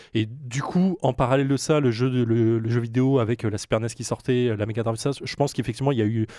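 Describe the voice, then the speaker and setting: Very clean, with a silent background, the recording captures a man at a medium pitch. His tone is dark and mellow, and his intonation fairly even. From Alsace, France. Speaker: co-presenter. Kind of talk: casual chat.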